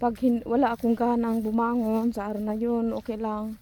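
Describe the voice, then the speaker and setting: A woman's fairly high voice has a dark, mellow tone and monotone, flat intonation. She speaks at a fairly slow pace. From Philippines. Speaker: vlogger. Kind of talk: casual vlog monologue. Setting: outdoors, walking alone.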